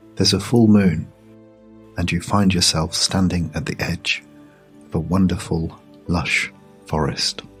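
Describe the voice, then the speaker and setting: Over music in the background, the voice keeps a soothing tone and fairly even intonation, with long, frequent pauses. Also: man, very deep, low pitch for a man, fairly slow pace. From British. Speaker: meditation guide. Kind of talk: sleep story. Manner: slow, soothing.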